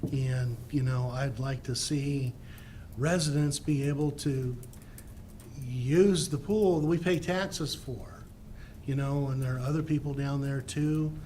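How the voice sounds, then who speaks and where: A man's somewhat breathy voice, dark and mellow in tone, fairly high in pitch, with fairly even intonation, a fairly slow pace and audible room echo. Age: 60s. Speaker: resident giving public comment. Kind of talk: public comment. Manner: halting.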